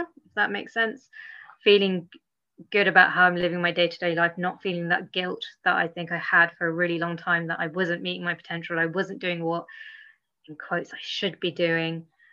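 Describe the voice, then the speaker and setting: This woman has a normal speaking voice at a fairly low pitch. She talks at a moderate pace with fairly even intonation. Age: 30s. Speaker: improv comedian and workshop leader. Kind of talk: casual interview.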